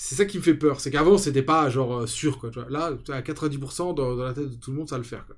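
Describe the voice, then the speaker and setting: A somewhat breathy man, fairly high-pitched, talking fairly quickly with hardly any pauses, ordinary pitch variation and big swings in loudness. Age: 40s. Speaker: podcast host and fantasy football content creator. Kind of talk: casual chat.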